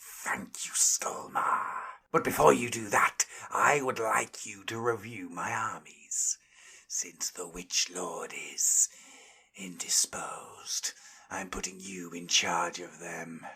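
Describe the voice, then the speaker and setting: A man whispers in a hissing, put-on character voice at a fairly slow pace. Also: big swings in loudness. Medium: read story.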